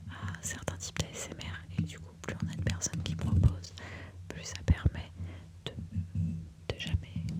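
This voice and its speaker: Very slowly, a woman with a very deep, low voice speaks in fairly even intonation, her loudness swinging widely over noticeable background noise. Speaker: ASMR creator and makeup enthusiast. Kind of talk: casual talk to camera, ASMR introduction. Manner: soft, close-mic whisper.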